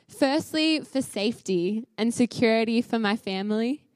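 A woman speaks with an Australian accent. Her pitch is fairly high and her intonation lively. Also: dry, close sound with no echo. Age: 20s. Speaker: charity speaker. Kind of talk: sermon. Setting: church with audience.

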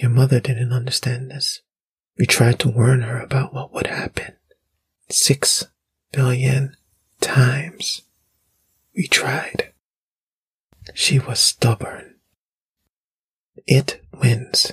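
Putting on a character voice, a man speaks at a medium pitch with a husky, rough edge and a fairly bright tone, moving slowly with long, frequent pauses and little pitch movement.

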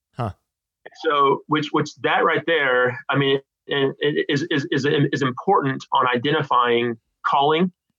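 A man with a normal speaking voice and an American accent talks at a fairly slow pace, his fairly high pitch showing ordinary pitch variation and his loudness very even. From California. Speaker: theology professor. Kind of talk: interview.

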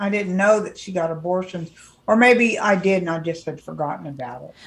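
Somewhat breathy, a woman with an American accent talks at a moderate pace. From California. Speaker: podcast co-host. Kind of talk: casual chat.

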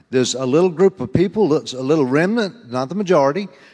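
Very wide pitch swings mark this voice with a Southern US accent. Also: man. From US South. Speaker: preacher. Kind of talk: sermon. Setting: church.

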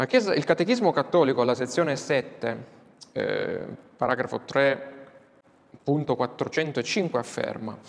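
Long pauses come often in this man's speech. His delivery is fairly slow. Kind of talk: lecture. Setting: classroom with whiteboard, filmed.

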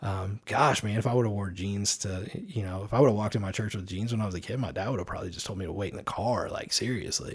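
A man talks at a very fast pace in a fairly low, somewhat breathy voice with ordinary pitch variation, captured in a very clean recording with a silent background. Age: 40s. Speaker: podcast guest. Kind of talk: casual chat.

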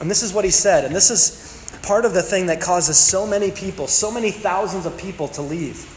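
High-pitched man's voice at a fairly quick pace, ordinary pitch variation, noticeable background noise. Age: 30s. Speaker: pastor. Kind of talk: sermon.

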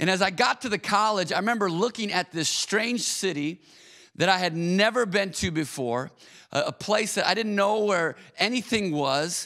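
On a very clean recording with a silent background, a man projects a raised voice, high in pitch with ordinary variation, bright and sharp in tone, at a moderate pace and very even loudness. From Michigan, Auburn Hills. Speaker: pastor. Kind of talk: sermon.

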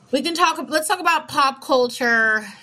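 In a raised, projected voice, a woman speaks with a bright, sharp tone and very wide pitch swings. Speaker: podcast host. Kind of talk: casual chat.

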